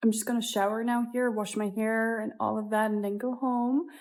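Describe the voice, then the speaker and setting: A soft-spoken woman talks at a moderate pace in a fairly high pitch with ordinary pitch variation. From Netherlands. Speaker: vlogger. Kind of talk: casual vlog. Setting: outdoors in city; gym.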